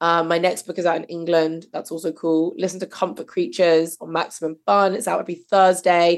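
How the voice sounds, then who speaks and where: A woman with a British accent, fairly low in pitch, at a fairly quick pace. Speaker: podcast host and novelist. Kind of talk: casual chat. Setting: video call.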